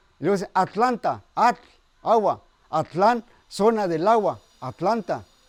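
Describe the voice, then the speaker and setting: The pace is very slow as this man speaks. Lively intonation colors his delivery. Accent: Mexican. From Mexico, Huasteca region of Hidalgo. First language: Nahuatl (speaking Spanish). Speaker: retired salesman and Nahuatl teacher. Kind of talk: interview.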